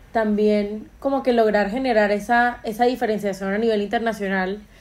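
This woman has an ordinary speaking voice, fairly high in pitch. She talks at a moderate pace with fairly even intonation. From Colombia, Caribbean coast (Montería). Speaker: podcast host. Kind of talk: casual chat.

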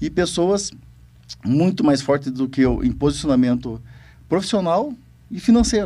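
A man with a fairly high pitch and a dark, mellow tone talks at a moderate pace, his voice swinging very widely in pitch and broken by long, frequent pauses. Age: 40s. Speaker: co-founder and board member, former farmer. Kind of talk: casual chat.

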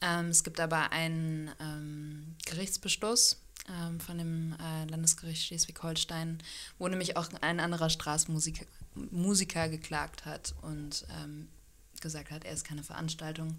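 The woman's voice is fairly low in pitch, an ordinary speaking voice delivered at a fairly slow pace. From Hannover, northern Germany. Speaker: street musician, singer-songwriter. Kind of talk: interview. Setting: home studio.

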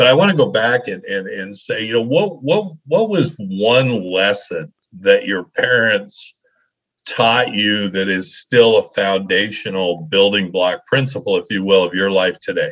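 A man with a plain, everyday voice keeps a medium pitch, speaking at a fairly slow pace with lively intonation. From Colorado, US. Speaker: podcast host and coach. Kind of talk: interview conversation.

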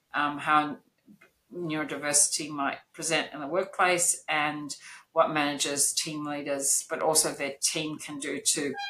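Very deep, low speech from a woman, her pitch varying in an ordinary way. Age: 50s. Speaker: neurodiversity consultant and business owner. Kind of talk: interview.

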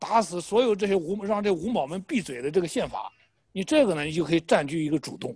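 Very fast, high-pitched speech from a man with lively intonation. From Shandong, Jinan. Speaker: political commentator. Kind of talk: political discussion.

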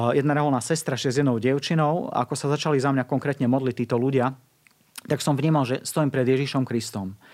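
This man talks at a very fast pace. His pitch is medium, with ordinary pitch variation. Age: 40s. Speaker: evangelist. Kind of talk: interview testimony. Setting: studio.

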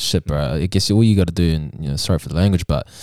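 Very fast speech with a New Zealand accent, dark and mellow in tone, fairly even in intonation, with a dry, close sound and no echo. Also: man. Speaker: podcast host. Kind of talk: casual interview.

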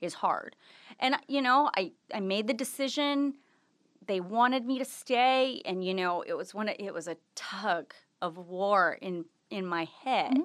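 Against a quiet background, a woman with a Californian accent speaks at a fairly high pitch and fairly slow pace with lively intonation. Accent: General American, Californian. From US West Coast, Los Angeles. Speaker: former TV news anchor, business owner. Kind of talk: casual interview.

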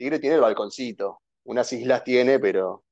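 The voice has a dark, mellow tone and ordinary pitch variation. It moves at a fairly quick pace over a quiet background. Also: man. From Argentina, San Fernando (Buenos Aires). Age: 30s. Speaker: board game enthusiast. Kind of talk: casual chat.

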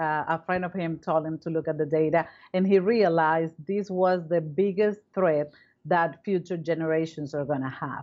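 A woman's fairly low-pitched voice with a Spanish accent. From Venezuela, Caracas. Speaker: foundation co-founder, climate philanthropist. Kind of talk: interview.

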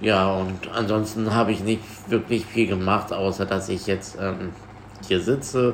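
Against noticeable background noise, a man speaks at a fairly slow pace and a fairly low pitch, with monotone, flat intonation. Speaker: podcast host. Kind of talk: casual chat.

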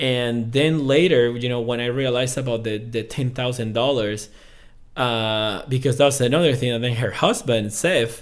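At a moderate pace, a man with a Venezuelan accent speaks at a medium pitch. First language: Spanish. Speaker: podcast guest. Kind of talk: casual interview.

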